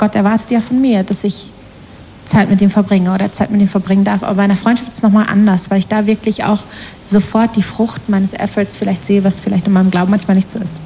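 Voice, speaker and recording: Amid noticeable background noise, a woman at a medium pitch speaks at a very fast pace in a monotone, flat intonation. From Germany, Ruhr area. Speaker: panel guest. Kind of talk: panel interview.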